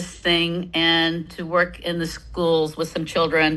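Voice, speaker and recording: A woman with a bright, sharp tone and a fairly low pitch speaks at a moderate pace. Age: 70s. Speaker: participant in detox program, dancer. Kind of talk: casual self-introduction in group video call. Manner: halting, with many fillers.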